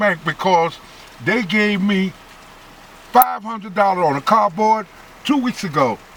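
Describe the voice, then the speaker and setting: A man speaks in a high voice with an animated tone and ordinary pitch variation. His pace is moderate, broken by long, frequent pauses. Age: 70s. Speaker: volunteer ambulance corps commander. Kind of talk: interview.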